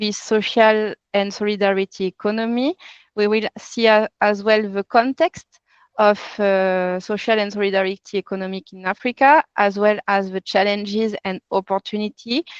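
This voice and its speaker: A woman's fairly high voice with a French accent, moderate pace and fairly even intonation, dry and close with no echo against a quiet background. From France. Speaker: workshop facilitator, NGO consultancy CEO. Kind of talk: online training session. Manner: halting, with frequent repetitions.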